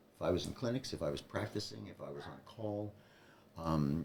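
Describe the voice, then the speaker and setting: This man's voice shows very wide pitch swings and big swings in loudness. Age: 70s. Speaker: retired veterinarian and cancer survivor. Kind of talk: interview. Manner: halting.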